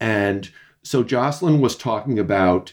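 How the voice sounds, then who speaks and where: An ordinary speaking voice from a man, fairly slow in pace, with ordinary pitch variation. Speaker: executive editor. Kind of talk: panel discussion. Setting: video call.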